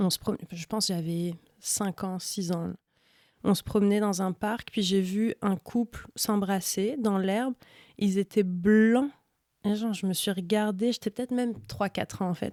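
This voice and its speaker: A woman talks at a fairly slow pace with a dark, mellow tone and fairly even intonation. The recording is very clean with a silent background, its sound dry and close with no echo. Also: medium pitch for a woman. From France, Iranian parents. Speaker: slam poet. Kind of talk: casual interview, personal testimony.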